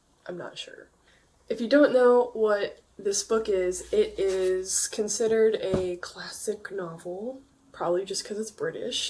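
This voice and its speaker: There is noticeable background noise as a woman with a fairly high pitch talks at a fairly slow pace, her loudness swinging widely. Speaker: book reviewer. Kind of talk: casual chat.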